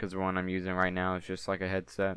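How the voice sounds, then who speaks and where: The man's pitch is very deep and low. The recording is very clean, with a silent background. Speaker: gaming youtuber. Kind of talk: tutorial. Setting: home. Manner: monotone; halting.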